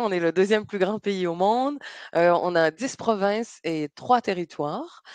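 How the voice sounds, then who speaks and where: A woman's medium-pitched voice at a moderate pace, with ordinary pitch variation and a dry, close, echo-free sound. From Quebec, Montreal. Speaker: travel destination presenter. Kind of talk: online presentation. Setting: online webinar. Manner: hesitant, many fillers.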